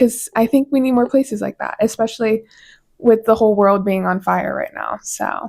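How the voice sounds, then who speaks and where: Recorded very cleanly with a silent background, a woman with an unremarkable speaking voice talks at a moderate pace, fairly high in pitch, with fairly even intonation. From Colorado. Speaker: podcast host. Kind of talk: casual monologue.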